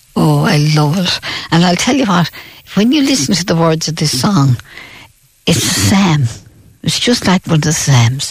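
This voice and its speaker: With a western Irish accent, a woman talks at a moderate pace in a fairly low pitch. Her voice makes very wide pitch swings, broken by long, frequent pauses. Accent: rural west of Ireland. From Ireland, County Roscommon. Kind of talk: radio interview, reminiscing. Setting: radio studio.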